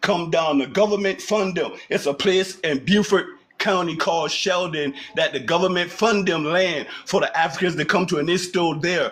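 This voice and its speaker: Speaking in a Geechee accent, a man with a high pitch and fairly even intonation talks at a moderate pace amid noticeable background noise. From South Carolina, Charleston (Gullah Geechee). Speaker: caller. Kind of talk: casual chat.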